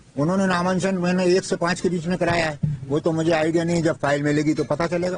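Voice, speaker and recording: A man speaks in a high voice with a flat, monotone delivery, very even loudness and hardly any pauses, over noticeable background noise. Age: 70s. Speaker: complainant in a land fraud case. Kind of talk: news interview. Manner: halting.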